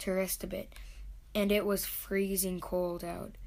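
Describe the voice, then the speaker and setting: This woman speaks at a medium pitch with a monotone, flat intonation. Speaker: family narrator. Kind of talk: narration.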